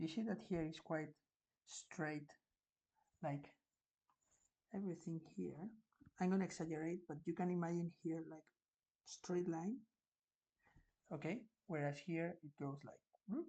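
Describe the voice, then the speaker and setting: Speech comes at a fairly slow pace in a Spanish accent. Long, frequent pauses break it up. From Spain. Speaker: art teacher. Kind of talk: tutorial. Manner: halting.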